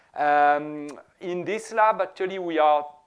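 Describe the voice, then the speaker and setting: This man speaks in a French accent. His intonation is lively. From France. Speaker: professor. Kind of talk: lecture.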